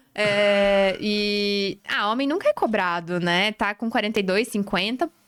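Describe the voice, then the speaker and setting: A woman with a plain, everyday voice speaks at a medium pitch. Her pace is fairly slow, with ordinary pitch variation. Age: 30s. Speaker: podcast host. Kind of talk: casual chat.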